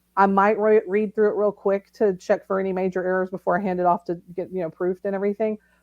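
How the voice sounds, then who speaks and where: A woman with a Southern accent talks at a very fast pace with hardly any pauses. The sound is dry and close, with no echo. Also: medium pitch for a woman. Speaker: novelist. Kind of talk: casual interview. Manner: animated.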